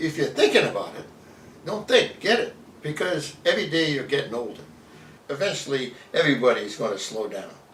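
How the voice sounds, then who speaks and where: Fairly quick speech comes through with audible room echo. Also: man. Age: 70s. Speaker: homeowner, husband of the interviewee. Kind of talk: testimonial interview.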